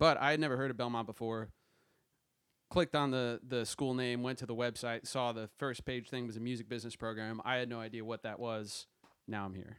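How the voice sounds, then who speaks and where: In an ordinary speaking voice, a man talks at a fairly quick pace and medium pitch with fairly even intonation. The recording is very clean, with a silent background. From South Jersey, US. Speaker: music business graduate. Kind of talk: casual chat.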